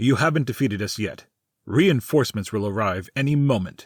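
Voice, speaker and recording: Putting on a growling character voice at a medium pitch, a man moves along at a fairly quick pace. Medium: audio drama.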